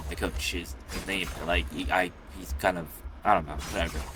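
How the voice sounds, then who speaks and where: Noticeable background noise sits under the recording. A man speaks at a moderate pace. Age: young. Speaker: gaming youtuber. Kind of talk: casual commentary vlog. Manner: stutters at times; rambling, halting with many fillers.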